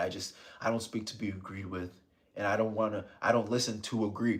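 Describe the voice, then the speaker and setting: A man with an American accent speaks at a fairly quick pace. His pitch is fairly low and his intonation is monotone and flat. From South Florida. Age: 30s. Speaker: ASMR streamer. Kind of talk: live stream chat. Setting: live stream. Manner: soft-spoken, calm ASMR tone; low volume. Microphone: close to the microphone.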